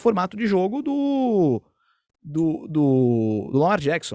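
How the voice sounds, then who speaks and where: A man's high-pitched voice. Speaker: sports commentator. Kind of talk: casual sports chat.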